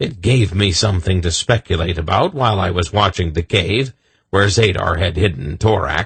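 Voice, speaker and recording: Using a put-on character voice, a man sounds gruff at a very deep, low pitch, talking at a moderate pace with very even loudness. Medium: read story. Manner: blunt, gruff.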